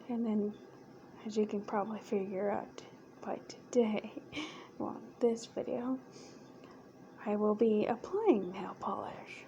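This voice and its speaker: A soft-spoken woman at a very slow pace and a fairly high pitch, relaxed in tone, with long, frequent pauses over noticeable background noise. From United States. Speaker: ASMR creator. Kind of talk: ASMR soft-spoken talk to camera. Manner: soft-spoken, relaxed, casual.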